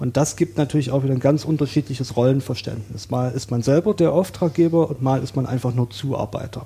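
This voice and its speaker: A man with a normal speaking voice and a medium pitch talks at a fairly quick pace with hardly any pauses and ordinary pitch variation. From Saxony, eastern Germany. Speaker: coworking space user, self-employed IT worker. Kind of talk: casual podcast interview.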